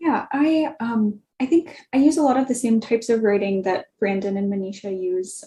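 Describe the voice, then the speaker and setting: A woman speaks at a fairly slow pace in a fairly high pitch with ordinary pitch variation. Her tone is dark and mellow, and somewhat breathy. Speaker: career panelist, public health writer. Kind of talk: virtual panel discussion. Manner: wordy, many filler ums.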